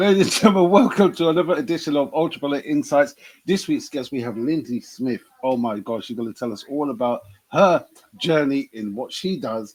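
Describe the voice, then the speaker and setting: Speaking with a British accent, this man has a fairly high pitch. His intonation is lively and his pace fairly quick. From UK. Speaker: comedian and podcast host. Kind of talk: interview.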